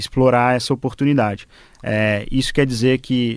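A man speaks at a medium pitch, fairly slowly, with fairly even intonation. The recording is very clean, with a silent background. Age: 20s. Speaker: fintech CEO. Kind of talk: radio panel interview.

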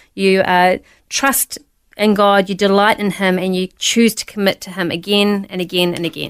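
Recorded very cleanly against a silent background, a woman with a New Zealand accent speaks at a medium pitch with fairly even intonation. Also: moderate pace. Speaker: pastor. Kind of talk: testimony.

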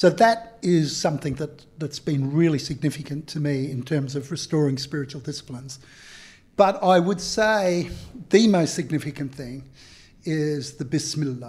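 On a very clean recording with a silent background, a man speaks somewhat breathily at a moderate pace, his fairly high pitch showing ordinary variation. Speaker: community activist and author. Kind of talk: casual chat.

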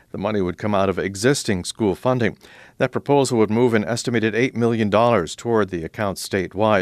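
The recording is very clean, with a silent background. A man with a fairly low pitch speaks very fast, with ordinary pitch variation. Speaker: radio news host. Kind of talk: news reading. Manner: formal.

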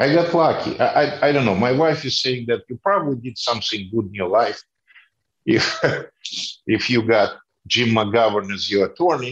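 This man has a Russian accent and a medium pitch. His intonation is lively and his pace moderate. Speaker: former politician. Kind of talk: interview. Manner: halting.

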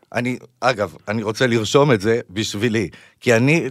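A man with a medium pitch and an unremarkable speaking voice, in a very clean recording with a silent background. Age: 30s. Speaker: podcast host. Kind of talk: interview conversation.

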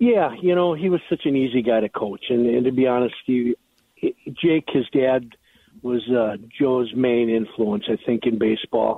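This man has a plain, everyday voice at a medium pitch, speaking at a moderate pace with an American accent and ordinary pitch variation. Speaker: former high school coach. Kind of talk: recorded interview.

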